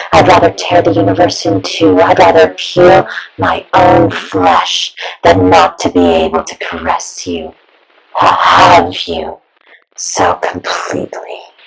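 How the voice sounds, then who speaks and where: Put-on character voice, raspy in texture, moving at a fairly slow pace. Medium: audio drama. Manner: sweet, soft-spoken, menacing.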